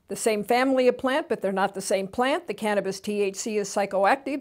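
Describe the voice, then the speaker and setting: A woman talks in a normal speaking voice, fairly high in pitch with ordinary pitch variation, on a very clean recording with a silent background. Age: 60s. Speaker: TV host. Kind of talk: educational talk.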